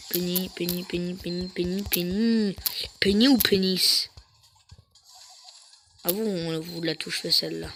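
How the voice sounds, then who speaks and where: The speech moves at a very slow pace, broken by long, frequent pauses. Music plays in the background. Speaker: gaming streamer. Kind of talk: gameplay commentary. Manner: animated.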